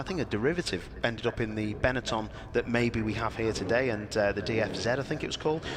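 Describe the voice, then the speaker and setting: With a Liverpool accent, a man talks at a very fast pace with lively intonation. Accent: Liverpool area. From northern England, near Liverpool. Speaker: motorsport commentator. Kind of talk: live event commentary, casual chat. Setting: live stream at a race track. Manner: animated.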